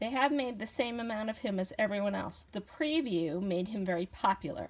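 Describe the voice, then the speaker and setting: A woman's voice of medium pitch, somewhat breathy, fairly quick, with lively intonation. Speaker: toy reviewer. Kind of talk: toy review video.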